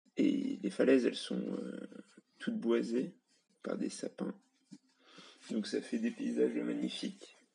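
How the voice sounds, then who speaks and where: Long, frequent pauses interrupt delivery that is very slow. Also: man. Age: 20s. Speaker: software developer. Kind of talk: personal storytelling.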